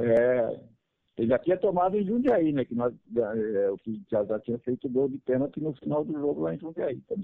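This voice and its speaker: A man's voice sits at a middle pitch. He talks at a medium rate, his pitch ranging very widely. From Araras, São Paulo state, Brazil. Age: 60s. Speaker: retired footballer. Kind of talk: radio interview.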